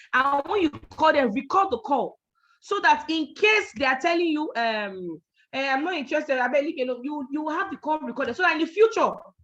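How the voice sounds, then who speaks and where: The speaker is loud and animated, talking at a fairly quick pace with lively intonation. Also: woman, high pitch for a woman. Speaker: network marketing trainer. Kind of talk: training talk.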